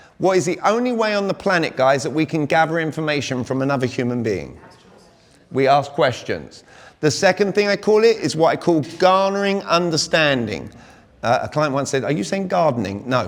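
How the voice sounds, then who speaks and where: A speaker with a British accent talks at a fairly quick pace with lively intonation. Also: man, fairly high pitch for a man. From Britain. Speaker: communication coach. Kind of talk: workshop talk. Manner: animated.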